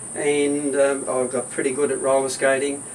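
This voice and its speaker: A man speaks at a fairly high pitch with an Australian accent. Noticeable background noise can be heard. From Australia, Hobart (Tasmania). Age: 80s+. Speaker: retired husband interviewed at home. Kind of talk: casual interview. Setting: at home.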